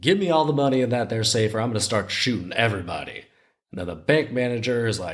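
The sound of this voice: The background stays quiet. The pitch of an unforced reading voice varies in an ordinary way.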